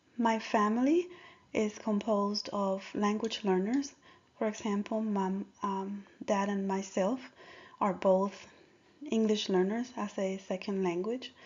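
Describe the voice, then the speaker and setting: Speaking with a Spanish accent, a woman uses a medium pitch and fairly even intonation, moving at a fairly slow pace with long, frequent pauses. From Dominican Republic. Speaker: school district language coordinator. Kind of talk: presentation.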